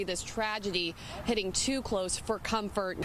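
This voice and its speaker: Noticeable background noise surrounds a woman whose intonation stays fairly even. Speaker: television news reporter and anchor. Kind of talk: studio news anchor read and live shots.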